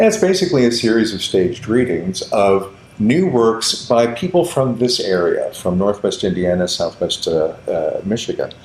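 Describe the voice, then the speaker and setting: A man with an American accent talks at a moderate pace with hardly any pauses, over noticeable background noise. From Kansas, Kansas City suburbs. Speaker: theater director. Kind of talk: interview.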